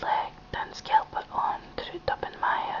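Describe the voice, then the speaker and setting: A whisper is heard with noticeable background noise around it. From Scotland. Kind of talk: poetry reading. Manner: whispered.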